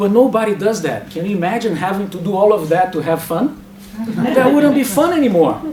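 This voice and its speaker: A man's high voice at a fairly quick pace, amid noticeable background noise and audible room echo. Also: lively intonation. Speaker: academic speaker. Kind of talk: lecture. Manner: fast.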